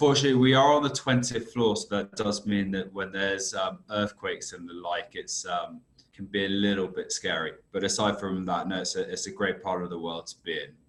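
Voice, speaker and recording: The speaker is a man with a British accent. He talks fairly quickly. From UK. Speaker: risk consultancy director. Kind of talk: podcast interview.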